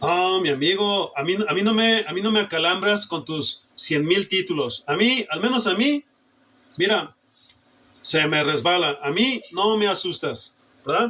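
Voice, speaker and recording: At a fairly slow pace, the speaker uses a raised, projected voice with lively intonation. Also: man, high pitch for a man. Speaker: preacher. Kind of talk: sermon. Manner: forceful, emphatic.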